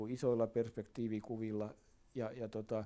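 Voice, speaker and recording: A man's medium-pitched voice with a dark, mellow tone at a moderate pace. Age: 80s. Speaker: architect. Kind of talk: interview answer, reflective talk about his work. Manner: conversational, hesitant with frequent filler words.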